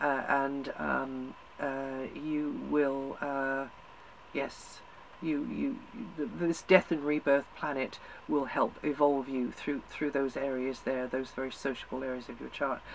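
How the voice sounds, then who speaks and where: A woman's very deep, low voice at a very slow pace, monotone and flat. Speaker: astrologer. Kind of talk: horoscope forecast monologue. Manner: hesitant, many fillers and repetitions.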